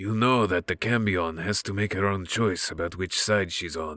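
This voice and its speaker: In a quiet, raspy put-on character voice, a man speaks with a very deep, low pitch. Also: moderate pace. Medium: read story. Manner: calm, amused, quietly menacing.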